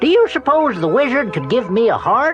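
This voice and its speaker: Over clear music in the background, a man does a put-on character voice at an extremely high pitch, with very wide pitch swings, very even loudness and a moderate pace. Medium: read story. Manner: gentle, polite.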